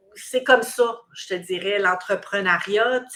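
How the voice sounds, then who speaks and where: A woman speaks very slowly in a Quebec accent. Her tone is bright and sharp. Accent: Québécois French. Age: 60s. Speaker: recruitment business owner. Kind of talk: interview. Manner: halting.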